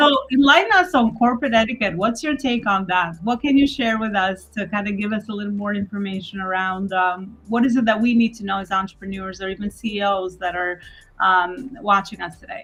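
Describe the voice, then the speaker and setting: A woman talks fairly quickly with hardly any pauses. Her pitch is medium and varies in an ordinary way. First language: not English. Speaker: event host. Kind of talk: interview.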